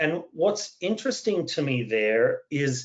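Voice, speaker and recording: A fairly high-pitched man with an Australian accent. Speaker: cybersecurity expert, panelist. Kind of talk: webinar panel discussion.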